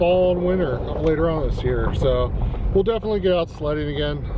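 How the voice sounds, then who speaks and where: With noticeable background noise behind him, a man talks at a fairly quick pace in a dry sound with no echo. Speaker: dog vlogger. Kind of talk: casual vlog chat. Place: car. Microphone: phone near.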